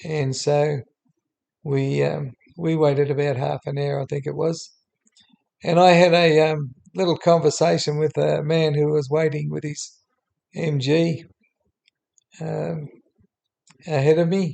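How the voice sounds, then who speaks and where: With an Australian accent, a man talks at a fairly slow pace with long, frequent pauses. His pitch is fairly high and his tone dark and mellow, with monotone, flat intonation. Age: 70s. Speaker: YouTuber. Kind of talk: unscripted narration over screen. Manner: halting with many fillers.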